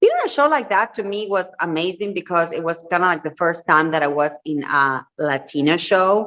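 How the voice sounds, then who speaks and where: With a Spanish accent and a fairly low pitch, a woman speaks at a moderate pace with ordinary pitch variation and hardly any pauses. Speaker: entrepreneur and reality TV personality. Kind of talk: interview.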